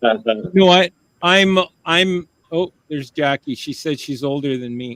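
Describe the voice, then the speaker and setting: This man has an unremarkable speaking voice, fairly high in pitch, with lively intonation and big swings in loudness. He talks at a moderate pace, and the sound is dry and close with no echo. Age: 50s. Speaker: talk show host. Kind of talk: casual chat.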